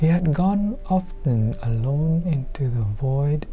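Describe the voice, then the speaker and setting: Noticeable background noise surrounds speech delivered at a very slow pace. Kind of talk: audiobook-style book reading.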